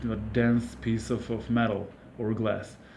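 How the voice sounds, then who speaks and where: In a Serbian accent, a dark, mellow voice speaks at a fairly slow pace with audible room echo. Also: man. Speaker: camera gear reviewer. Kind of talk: product review. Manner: hesitant, many fillers.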